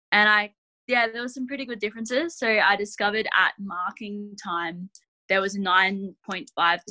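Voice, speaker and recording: A woman with a rural Australian accent, medium-pitched, at a fairly slow pace, in a dry, close sound with no echo. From Australia, western New South Wales. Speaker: sheep and wool specialist. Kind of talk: casual interview.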